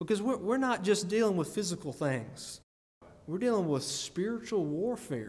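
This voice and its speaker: With an Alabama accent, a man talks at a moderate pace in a high pitch with very wide pitch swings, and audible room echo surrounds him. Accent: US Southern (Alabama). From Greene County, Alabama. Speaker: lay preacher. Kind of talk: sermon. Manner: repeats words, hesitant starts.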